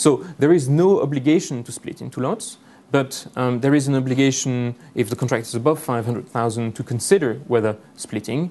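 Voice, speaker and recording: A man's dark, mellow tone in a French accent, medium pitch with ordinary variation and a fairly quick pace. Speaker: lawyer. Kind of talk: conference presentation. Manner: hesitant, many fillers.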